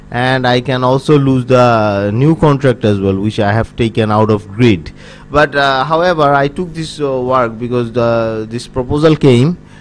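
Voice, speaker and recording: This man speaks with a Bengali accent at a medium pitch, with ordinary pitch variation and hardly any pauses. His pace is moderate, and there is noticeable background noise. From Bangladesh. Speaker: freelancer. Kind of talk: tutorial. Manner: halting, many fillers.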